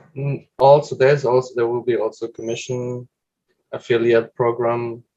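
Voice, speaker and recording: A man's medium-pitched voice, dark and mellow in tone, with monotone, flat intonation at a moderate pace. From Germany, near Stuttgart. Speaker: professional inline skater. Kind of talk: interview.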